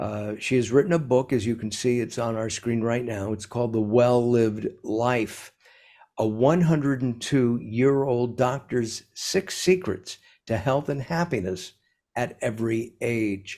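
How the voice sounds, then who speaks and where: The voice has a dark, mellow tone. It moves at a fairly slow pace with ordinary pitch variation. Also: man, medium pitch for a man. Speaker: interviewer. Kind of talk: interview introduction.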